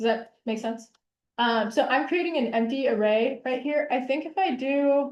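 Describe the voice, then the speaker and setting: A woman speaks in a high pitch. Her pitch varies in an ordinary way. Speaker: instructor. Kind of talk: lecture. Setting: video call. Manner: fast.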